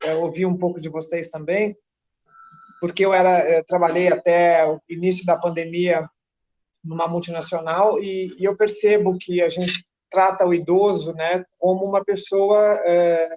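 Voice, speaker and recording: A woman speaks at a fairly slow pace in a monotone, flat intonation. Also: fairly low pitch for a woman. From São Paulo, Brazil. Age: 50s. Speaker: advertising professional. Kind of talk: group discussion. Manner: halting.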